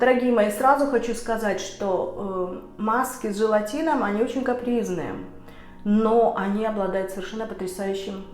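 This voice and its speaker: The speech comes at a moderate pace with ordinary pitch variation. There is audible room echo and music in the background. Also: woman, fairly high pitch for a woman. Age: 50s. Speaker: beauty vlogger. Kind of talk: tutorial. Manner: casual with filler sounds.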